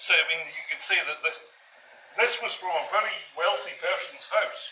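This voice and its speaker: Speaking at a moderate pace, a man has a strong Scottish accent. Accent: thick Scottish. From Orkney Islands, Scotland. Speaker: craftsman. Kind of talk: impromptu explanation to camera.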